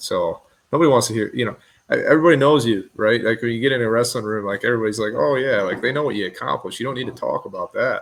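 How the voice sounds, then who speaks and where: A man with an American accent talks at a very fast pace on a very clean recording with a silent background. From West Michigan. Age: 20s. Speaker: former wrestler and businessman. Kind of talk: casual interview.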